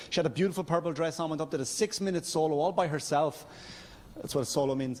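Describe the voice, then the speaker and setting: The speaker has an Irish accent and a very fast pace, with ordinary pitch variation. Background noise is noticeable. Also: man. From Ireland. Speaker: stand-up comedian. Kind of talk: stand-up. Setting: stage with audience. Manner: halting.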